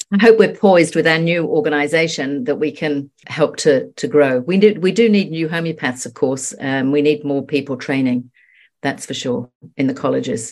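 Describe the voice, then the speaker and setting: Against a quiet background, a woman with a very deep, low pitch talks at a moderate pace. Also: lively intonation. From England. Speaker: homeopath. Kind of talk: casual chat.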